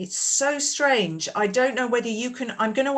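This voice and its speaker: With ordinary pitch variation and a moderate pace, a woman talks in an ordinary speaking voice. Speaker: conference moderator. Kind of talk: panel moderation.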